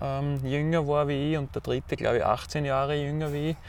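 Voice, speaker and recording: A man with an Austrian accent speaks at a fairly high pitch. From Austria, Styria (Enns valley). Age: 40s. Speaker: ultra trail runner. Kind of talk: interview. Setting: outdoors.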